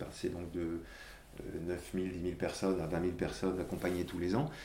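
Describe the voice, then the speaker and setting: A man's dark, mellow voice with audible room echo. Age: 50s. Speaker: corporate social responsibility director. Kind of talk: interview. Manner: halting, frequent repetitions.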